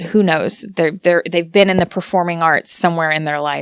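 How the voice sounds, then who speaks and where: Heard dry and close with no echo, a woman with an American accent uses a plain, everyday voice, fairly low in pitch and fairly even in intonation. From United States. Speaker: voice actor. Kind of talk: interview answer.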